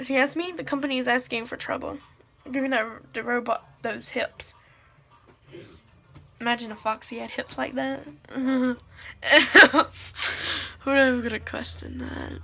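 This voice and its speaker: A woman speaks at a moderate pace, leaving long, frequent pauses. Her loudness swings widely. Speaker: gamer filming his screen. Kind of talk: casual gameplay commentary, reading dialogue aloud. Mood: amused, laughing. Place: home room. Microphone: phone near.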